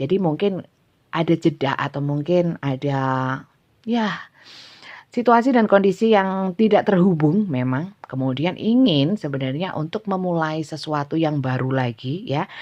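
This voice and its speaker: A woman speaks with a strong Javanese accent and a very deep, low pitch. Her pace is fairly slow and her intonation lively. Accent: thick Javanese. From Java, Indonesia. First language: Javanese (speaking Indonesian). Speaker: tarot reader. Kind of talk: tarot reading livestream. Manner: casual, laughs often; halting with fillers.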